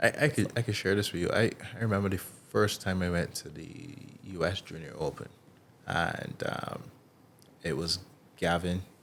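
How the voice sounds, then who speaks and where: Very deep, low male voice with a Barbadian accent, moderate pace and long, frequent pauses. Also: lively intonation. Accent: Bajan English. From Barbados, Bridgetown. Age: 30s. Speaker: athlete. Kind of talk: casual chat.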